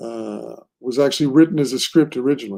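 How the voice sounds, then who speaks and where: On a very clean recording with a silent background, a man with an American accent speaks at a moderate pace in a dark, mellow tone, his fairly high pitch varying in an ordinary way. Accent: American-sounding. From Portugal, Lisbon. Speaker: comic book writer. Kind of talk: interview. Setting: live stream. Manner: casual, filler-heavy.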